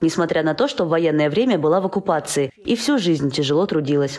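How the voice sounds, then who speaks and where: Speech runs at a very fast pace against noticeable background noise. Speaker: TV news reporter. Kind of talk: TV news report narration.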